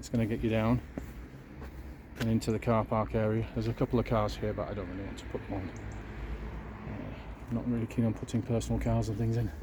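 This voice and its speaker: Speaking at a very fast pace, a man with a Yorkshire accent leaves long, frequent pauses. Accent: northern English (Yorkshire). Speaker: YouTube church tour vlogger. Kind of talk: casual walking vlog narration. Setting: outdoors.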